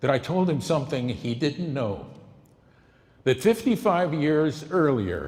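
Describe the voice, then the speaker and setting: A man's fairly high voice with vocal fry, a very slow pace and very wide pitch swings. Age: 70s. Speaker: political campaign volunteer introducing a documentary. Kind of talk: speech introducing a film screening.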